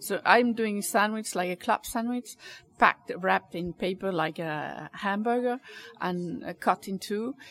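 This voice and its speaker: In a Danish accent, a woman speaks at a medium pitch with ordinary pitch variation. Her fairly slow delivery has a dry, close sound with no echo. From Denmark. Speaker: caterer. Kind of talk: interview. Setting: cafe.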